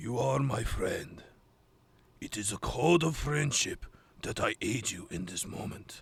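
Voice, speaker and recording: Using a put-on character voice at medium pitch, a man speaks at a fairly slow pace with long, frequent pauses. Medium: audio drama. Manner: formal, terse, serious.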